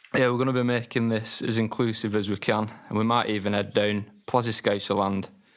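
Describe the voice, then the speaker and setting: In a Lancashire accent, the speaker reads at a moderate pace with flat, monotone intonation on a very clean recording with a silent background. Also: man. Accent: Wigan. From northern England, Wigan. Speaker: podcast co-host. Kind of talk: casual chat.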